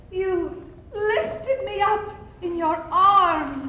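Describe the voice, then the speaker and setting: A put-on character voice at a very slow pace, with clear echo. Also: female-sounding voice, extremely high pitch for a woman. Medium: stage play.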